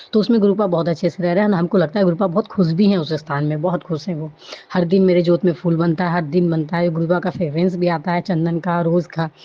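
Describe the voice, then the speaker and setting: A woman speaks with fairly low pitch and fairly even intonation. There is noticeable background noise. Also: fairly quick pace. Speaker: devotee sharing testimony. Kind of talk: testimony. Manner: halting with fillers.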